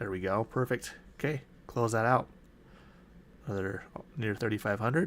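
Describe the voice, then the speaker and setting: With long, frequent pauses, a man talks in a Utah accent. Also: medium pitch for a man, ordinary pitch variation, moderate pace. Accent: Utah accent, drops T in mountain. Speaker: day trader. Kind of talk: live trading walkthrough.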